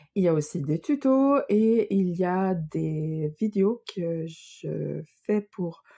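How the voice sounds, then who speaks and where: A woman speaks at a medium pitch with a dark, mellow tone. The sound is dry and close, with no echo. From Sweden. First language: Swedish (speaking French). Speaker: knitting and crochet designer, podcaster. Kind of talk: casual podcast monologue. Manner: hesitant, many fillers.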